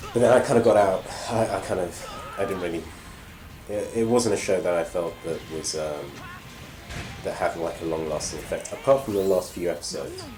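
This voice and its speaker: A man with a British accent talks at a fairly quick pace, leaving long, frequent pauses. Music plays in the background, and room echo is audible. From Britain. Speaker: gaming channel host. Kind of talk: live gameplay commentary. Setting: home live broadcast. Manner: hesitant, many fillers.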